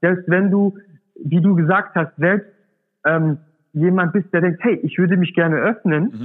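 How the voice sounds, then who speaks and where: Talking at a fairly slow pace with long, frequent pauses, a man holds a high pitch, ordinary pitch variation and very even loudness. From Swabia, southern Germany. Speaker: startup founder. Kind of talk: interview. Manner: hesitant, many fillers.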